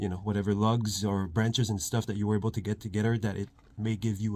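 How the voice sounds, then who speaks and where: In a Quebec accent, a man speaks at a fairly quick pace with a fairly low pitch. The recording is very clean, with a silent background. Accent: French Canadian accent in English. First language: French. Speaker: outdoors and bushcraft vlogger. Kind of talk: outdoor tutorial. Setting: outdoors by a fire pit. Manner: casual, with many fillers.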